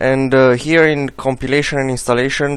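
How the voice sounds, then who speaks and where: A man talks at a medium pitch with a non-native accent. His intonation is flat and monotone. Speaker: software tutorial maker. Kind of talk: tutorial. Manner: halting, many filler sounds.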